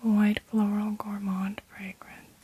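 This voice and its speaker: A soft-spoken woman's fairly high voice, flat and monotone, over noticeable background noise. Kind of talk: ASMR perfume review.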